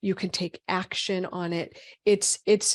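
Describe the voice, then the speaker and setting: A woman with an American accent talks with ordinary pitch variation over a quiet background. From Boston. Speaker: physician. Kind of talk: webinar lecture. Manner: fast.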